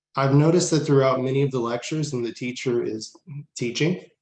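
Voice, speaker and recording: A man with an American accent speaks in a plain, everyday voice at a medium pitch with ordinary pitch variation. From Southern California. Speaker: student panelist. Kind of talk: conference panel on video call. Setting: video call.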